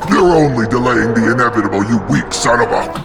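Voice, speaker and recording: Growling in a put-on character voice, a man talks at a medium pitch and a fairly quick pace. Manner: menacing, threatening.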